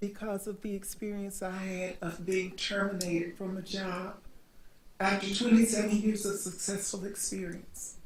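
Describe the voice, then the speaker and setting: A woman with an American accent, medium pitch, monotone, flat intonation and a fairly slow pace, with audible room echo. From US South (Montgomery, Alabama). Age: 60s. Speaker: panelist. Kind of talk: panel discussion.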